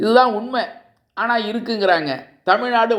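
Audible room echo fills the recording. Through it, a man talks. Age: 70s. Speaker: social commentator. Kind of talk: political monologue to camera.

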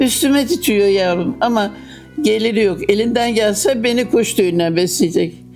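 A woman speaks at a fairly slow pace in a fairly high pitch with lively intonation, with music playing in the background. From Bozüyük, Eskişehir, Turkey. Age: 80s+. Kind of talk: interview answer.

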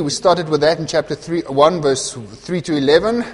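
A man is speaking fairly slowly. His pitch varies in an ordinary way. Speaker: pastor. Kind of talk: sermon. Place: church. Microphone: lapel.

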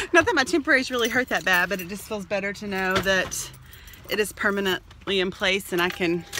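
Speaking with an American accent at a fairly quick pace, a woman is heard in a dry recording with no echo but noticeable background noise. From Texas. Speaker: family vlogger. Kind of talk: casual vlog talk to camera. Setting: in a car. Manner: animated. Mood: cheerful, relieved. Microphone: phone near.

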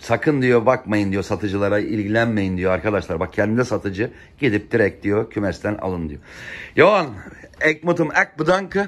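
A man's fairly low voice, animated in tone, with lively intonation at a moderate pace. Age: 50s. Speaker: pigeon fancier vlogger. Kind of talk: casual vlog narration. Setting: outdoors on a rooftop loft. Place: home room.

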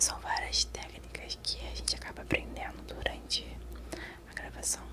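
Soft-spoken, a woman talks at a fairly slow pace. Noticeable background noise can be heard. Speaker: ASMR creator. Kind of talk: casual tutorial chat, soft-spoken. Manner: very soft, close-mic ASMR voice. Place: home room. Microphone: studio mic.

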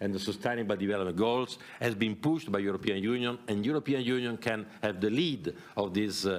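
Fairly low in pitch, a man with an unremarkable speaking voice talks at a fairly quick pace. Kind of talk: press conference statement. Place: hall. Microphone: podium.

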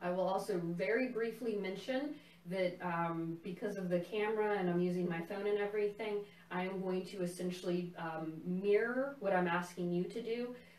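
A woman at a moderate pace, with ordinary pitch variation and audible room echo. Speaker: tai chi instructor. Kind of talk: guided class instruction. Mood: calm, warm. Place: home room. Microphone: camera far.

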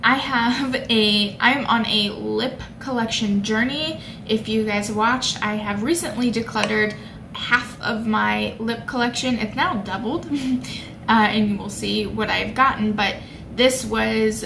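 Over noticeable background noise, a woman talks at a fairly slow pace with ordinary pitch variation. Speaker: beauty vlogger. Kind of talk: casual vlog chat. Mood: cheerful, chatty. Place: home room. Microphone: phone near.

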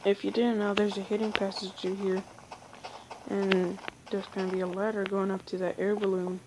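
The speaker uses monotone, flat intonation over noticeable background noise. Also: woman. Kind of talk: casual gameplay tutorial narration. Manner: casual, informal.

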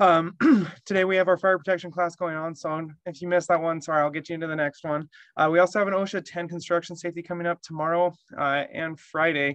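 A man's high-pitched voice at a very fast pace, with fairly even intonation, dry sound with no echo and a quiet background. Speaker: course coordinator and webinar tech support. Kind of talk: online meeting presentation. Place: office. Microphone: webcam.

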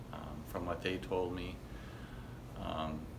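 A soft-spoken man talks very slowly with a very deep, low pitch. Noticeable background noise runs underneath. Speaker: chiropractic clinic patient giving a testimonial. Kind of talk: testimonial interview answer. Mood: soft spoken, grateful. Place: office. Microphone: phone near.

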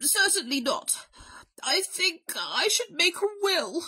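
Putting on a character voice, a woman speaks slowly at an extremely high pitch, with big pitch swings and a bright, sharp tone.

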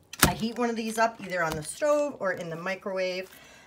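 With noticeable noise behind it, the speech comes at a fairly quick speed. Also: woman. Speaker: haul vlogger. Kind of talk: casual vlog chat. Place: kitchen. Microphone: phone near.

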